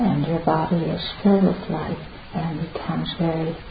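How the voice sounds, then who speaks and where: A calm, soothing tone moves at a fairly slow pace over noticeable background noise. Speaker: meditation teacher. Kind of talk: guided meditation. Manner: slow, calm, soothing pace with long pauses; soft-spoken, gentle and reverent.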